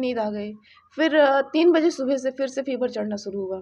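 This woman has a high-pitched voice. She talks at a moderate pace. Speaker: vlogger. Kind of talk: casual vlog chat. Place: home room. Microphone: phone near.

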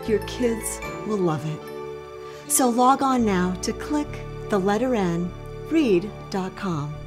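Clear music plays in the background while the speech unfolds at a very slow pace with long, frequent pauses. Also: woman. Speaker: voice actor. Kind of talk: mom-style testimonial commercial read. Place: home room.

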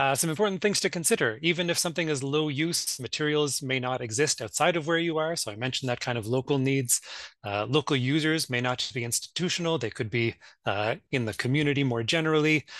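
Speaking at a very fast pace with a Maritime Canadian accent, a man shows ordinary pitch variation in a dry sound with no echo over a quiet background. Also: fairly high pitch for a man. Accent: Canadian (Maritimes). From Nova Scotia, Canada. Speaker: academic map librarian. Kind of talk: conference panel presentation. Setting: video call. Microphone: video call.

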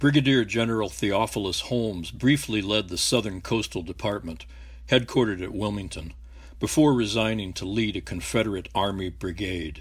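With vocal fry, a man talks at a moderate pace and ordinary pitch variation on a very clean recording with a silent background. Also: fairly low pitch for a man. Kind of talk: scripted documentary narration. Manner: formal, measured, even-paced; authoritative, matter-of-fact.

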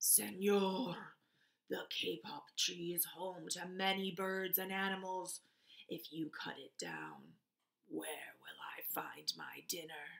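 A woman's growling, put-on character voice at a medium pitch and a fairly slow pace.

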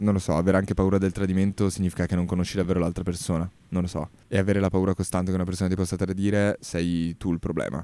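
A man talks very fast in a very deep, low voice with a dark, mellow tone and monotone, flat intonation, the sound dry with no echo. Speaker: podcaster. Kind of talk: casual monologue podcast. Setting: outdoors in a park. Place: garden. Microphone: handheld.

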